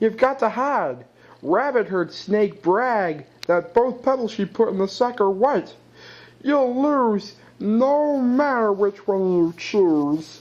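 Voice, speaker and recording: This is a put-on character voice with a fairly high pitch. It goes along at a fairly slow pace. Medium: read story.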